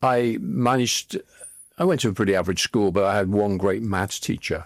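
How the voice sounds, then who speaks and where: A man with a Liverpool accent speaks fairly quickly in a fairly low voice with ordinary pitch variation. The recording is very clean, with a silent background. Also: dry, close sound with no echo. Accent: Liverpool (Scouse). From northern England, Liverpool. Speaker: former tech executive and investor. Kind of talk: interview. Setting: studio.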